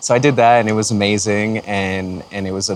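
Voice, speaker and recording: Over noticeable background noise, a man with a fairly low pitch speaks in a relaxed tone and a flat monotone. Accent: Canadian. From Canada, Windsor Ontario. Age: 30s. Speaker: music producer. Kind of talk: casual talk to camera. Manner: relaxed, many fillers.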